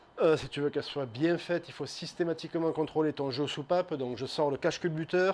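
The man's delivery is fairly quick. His intonation doesn't vary much, staying fairly even. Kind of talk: tutorial. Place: workshop.

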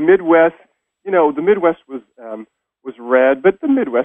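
A man with an American accent and a plain, everyday voice, lively intonation at a moderate pace, in a quiet background with dry sound and no echo. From Sacramento, California; California. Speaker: professor and poet; professor, poet. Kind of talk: interview. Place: studio.

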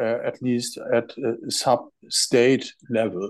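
A man's very slow, monotone delivery with a German accent and flat intonation over a quiet background. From Germany. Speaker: doctor; webinar panelist. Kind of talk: panel presentation. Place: home room. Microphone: earbuds.

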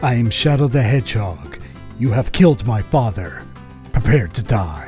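A man puts on a character voice at medium pitch and a moderate pace, with clear music playing in the background. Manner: edgy, vengeful, menacing.

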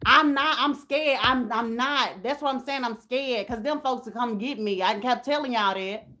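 A woman talks in a high, bright, sharp voice with an animated tone and ordinary pitch variation. She keeps a moderate pace with hardly any pauses. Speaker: YouTuber hosting a livestream; YouTuber. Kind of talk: casual livestream chat with viewers. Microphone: phone near.

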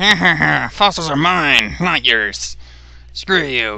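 A man's put-on character voice at a fairly slow pace. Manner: mocking, taunting.

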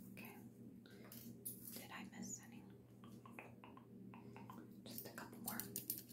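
Against loud background noise, a woman speaks with long, frequent pauses. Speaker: ASMR creator playing beautician. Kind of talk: ASMR personal attention roleplay. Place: home room.

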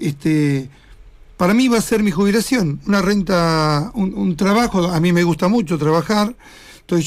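Against a quiet background, a man with a high-pitched voice talks at a moderate pace with ordinary pitch variation. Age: 60s. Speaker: local politician candidate; radio interview guest. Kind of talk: radio interview. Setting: studio. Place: studio. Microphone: studio mic.

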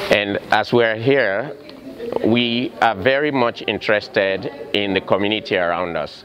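Noticeable background noise surrounds a man's voice. He talks at a fairly slow pace with ordinary pitch variation. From Sierra Leone. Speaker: cardiac and intensive care nurse. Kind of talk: interview. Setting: community health fair. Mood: earnest, community-minded. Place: hall.

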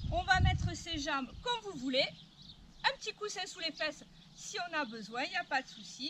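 Over noticeable background noise, a woman projects a raised voice with a bright, sharp tone at a moderate pace, her loudness swinging widely. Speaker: fitness instructor. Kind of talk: exercise class instruction. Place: open country.

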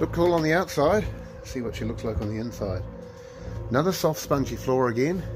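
A man speaks with clear music in the background. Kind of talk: casual vlog chat. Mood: excited, curious. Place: home room. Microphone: phone near.

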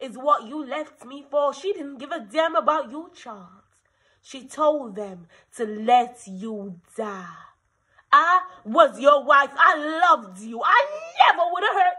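A woman speaks in a raised, projected voice with lively intonation at a very slow pace, leaving long, frequent pauses over a quiet background. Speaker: actor performing a scene. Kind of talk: dramatic acted monologue. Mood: angry, hurt, accusing. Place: home room. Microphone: phone near.

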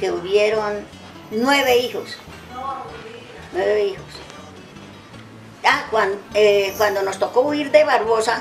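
At a very slow pace with long, frequent pauses, a woman speaks in a fairly high voice with ordinary pitch variation as faint music plays in the background. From Santander, Colombia. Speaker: elder recounting memories. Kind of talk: interview answer. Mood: calm, reflective recollection. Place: garden.

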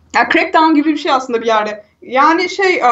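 Lively intonation in a woman's high-pitched voice. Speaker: gaming video host. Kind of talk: casual chat. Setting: remote recording, separate mics.

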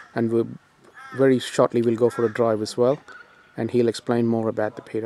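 A man with an Australian accent speaks at a very fast pace. The sound is dry with no echo, with light background noise. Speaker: electric car enthusiast video host. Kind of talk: casual interview. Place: street. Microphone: phone near.

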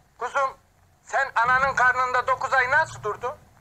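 A man uses a put-on character voice at an extremely high pitch with a bright, sharp tone. His intonation stays fairly even at a moderate pace.

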